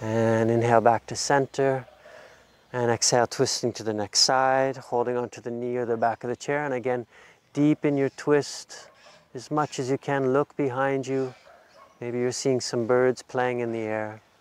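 The sound is dry, with no echo. A man talks in a flat, monotone way. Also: moderate pace. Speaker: yoga instructor. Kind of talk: guided exercise instruction. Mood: calm, soothing. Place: garden. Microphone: lapel.

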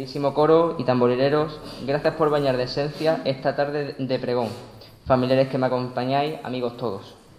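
A man talks at a moderate pace in a monotone, flat intonation. Audible room echo and light background noise are present. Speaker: pregonero giving a religious festival address; speaker. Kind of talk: solemn poetic declamation, oratory with flowery, sea-and-devotion imagery; formal ceremonial proclamation. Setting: church with audience. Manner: formal, measured, lyrical, with rhetorical cadence. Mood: devout, emotional, grateful. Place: church. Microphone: podium.

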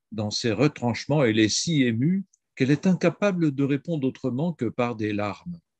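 The intonation is lively. The sound is dry, with no echo. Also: man, quiet background. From France. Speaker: priest and historian; priest. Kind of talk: reading prepared talk. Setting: video call. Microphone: video call.

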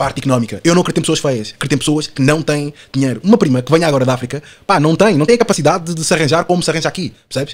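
Speaking very fast with hardly any pauses, a man delivers his words in an animated tone. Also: fairly high pitch for a man, ordinary pitch variation. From Portugal. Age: 20s. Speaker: podcast guest. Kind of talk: casual chat.

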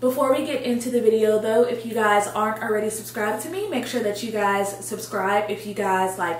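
A woman at a moderate pace with fairly even intonation, audible room echo and light background noise. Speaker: fashion vlogger. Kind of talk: casual vlog chat. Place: home room.

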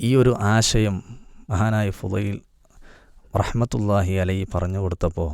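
A man speaks in an unremarkable speaking voice, his pitch fairly low and its variation ordinary. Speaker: Islamic preacher. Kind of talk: religious talk.

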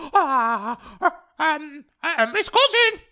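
This is a put-on character voice. The speaker is a man. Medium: dub. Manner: excited, exasperated.

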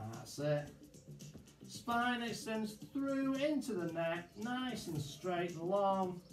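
A man with a high voice at a very slow pace, with audible room echo and clear music in the background. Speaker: fitness instructor. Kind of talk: exercise class instruction. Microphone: camera far.

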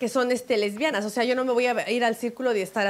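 A woman speaks at a very fast pace. Her pitch is fairly high, with ordinary variation. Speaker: co-host. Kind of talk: casual chat. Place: studio. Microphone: handheld.

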